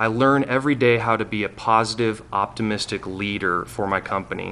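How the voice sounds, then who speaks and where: At a moderate pace and medium pitch, a man uses fairly even intonation in an ordinary speaking voice. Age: 30s. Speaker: city council candidate. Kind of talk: candidate forum speech. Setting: public forum.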